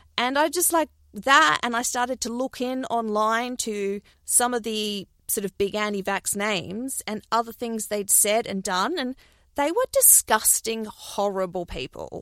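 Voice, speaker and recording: A woman with an Australian accent speaks at a fairly slow pace with ordinary pitch variation, in a very clean recording with a silent background and a dry, close sound with no echo. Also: fairly high pitch for a woman. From New Zealand, Christchurch, then Australia from age ten. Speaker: former anti-vaxxer, host's wife. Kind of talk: casual interview.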